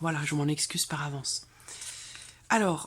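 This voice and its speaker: A soft-spoken woman talks at a moderate pace with fairly even intonation. Her voice is somewhat breathy. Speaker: tarot reader. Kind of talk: tarot reading video.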